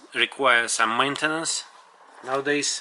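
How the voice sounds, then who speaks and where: A man with a Russian accent and fairly even intonation. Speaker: tech reviewer. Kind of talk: product review. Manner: halting.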